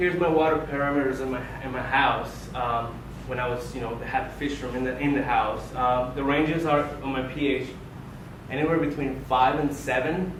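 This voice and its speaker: A man's fairly high voice at a moderate pace, fairly even in intonation, with audible room echo and noticeable background noise. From Colombia. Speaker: aquarium hobbyist speaker. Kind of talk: club presentation. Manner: informal, many fillers.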